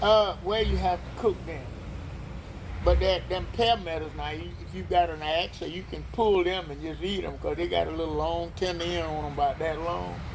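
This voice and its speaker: A man's voice with big swings in loudness, audible room echo and noticeable background noise. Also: moderate pace. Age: 80s+. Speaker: elderly local resident. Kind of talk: oral history interview. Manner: halting.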